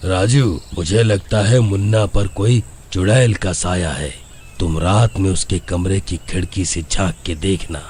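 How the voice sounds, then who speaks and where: A man puts on a cartoonish character voice with a very deep, low pitch. He talks at a fairly slow pace over clear background noise. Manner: calm, grave.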